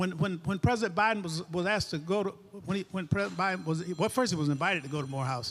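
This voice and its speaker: A man with a Southern US accent talks at a very fast pace in a high-pitched voice with ordinary pitch variation. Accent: Southern US (Georgia). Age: 80s+. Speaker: civil rights veteran. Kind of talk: panel discussion. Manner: halting, repeats words.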